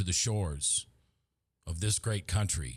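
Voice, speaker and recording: Somewhat breathy and with an American accent, a man speaks at a fairly slow pace in a very clean recording with a silent background. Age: 50s. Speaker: talk show host. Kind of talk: opinion monologue. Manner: impassioned.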